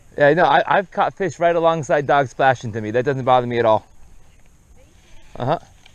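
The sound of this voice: Medium pitch from a man, fairly quick pace and fairly even intonation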